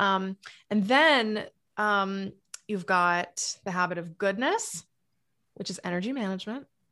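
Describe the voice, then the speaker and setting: A woman with an American accent talks in a bright, sharp tone at a fairly slow pace. Long, frequent pauses break up her speech over a quiet background. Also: medium pitch for a woman, ordinary pitch variation. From New England (Massachusetts). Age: 40s. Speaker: author and happiness coach. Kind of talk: casual interview chat. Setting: remote call. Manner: animated.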